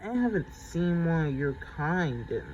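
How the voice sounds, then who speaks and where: Against clear background noise, a man performs a put-on character voice, pitched high and delivered at a moderate pace. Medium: read story.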